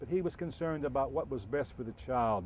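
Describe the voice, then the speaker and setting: A plain, everyday voice moves along at a fairly quick pace. The intonation rises and falls in a lively way. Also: man. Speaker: retired chief of juvenile probation. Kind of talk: oral history interview answer.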